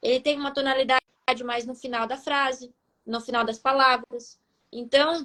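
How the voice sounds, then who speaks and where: In a raised, projected voice, a woman speaks at a high pitch and moderate pace with flat, monotone intonation and long, frequent pauses, the sound dry and close with no echo. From Rio Grande do Sul, southern Brazil. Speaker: life coach. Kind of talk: live stream talk.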